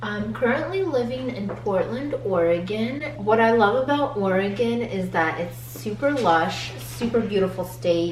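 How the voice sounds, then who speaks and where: Speaking fairly slowly with hardly any pauses, a woman with a fairly low pitch makes very wide pitch swings amid audible room echo and noticeable background noise. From US, immigrated from Ukraine/Russia at age four. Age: 20s. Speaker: vlogger. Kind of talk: casual chat.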